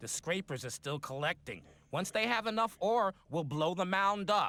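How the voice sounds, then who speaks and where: In a put-on character voice, a man speaks gruffly at a high pitch with lively intonation and a moderate pace, the sound dry and close with no echo. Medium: video game. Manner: blunt, gruff, swearing.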